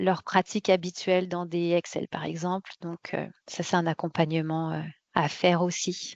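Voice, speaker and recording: Speaking at a fairly low pitch, a woman keeps a flat monotone. Her pace is fairly slow. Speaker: quality management software consultant presenting a webinar. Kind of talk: webinar presentation. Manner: hesitant, many fillers and repetitions.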